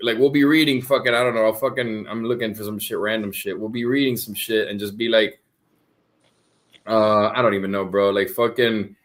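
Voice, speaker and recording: At a fairly quick pace, a man talks with a Spanish accent. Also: medium pitch for a man. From US, grew up in Spanish-speaking home. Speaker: streamer. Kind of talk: casual chat. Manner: animated.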